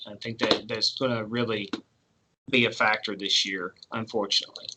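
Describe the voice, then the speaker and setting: This man has an ordinary speaking voice, fairly even intonation and a moderate pace. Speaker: school counselor. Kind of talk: virtual presentation to parents. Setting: online video presentation.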